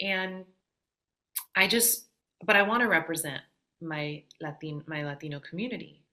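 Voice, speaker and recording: With a Midwestern accent, a woman uses a bright, sharp tone at a fairly low pitch, her loudness swinging widely, with long, frequent pauses. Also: ordinary pitch variation, moderate pace. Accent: very Midwestern American. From US Midwest. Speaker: singer-songwriter. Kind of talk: podcast interview. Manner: halting, many fillers.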